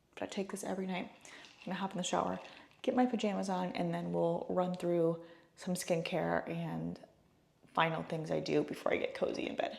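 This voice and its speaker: A woman speaks softly. Her pace is fairly quick. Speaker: lifestyle vlogger. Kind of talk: casual vlog narration. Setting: at home. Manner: soft-spoken; casual, filler-heavy.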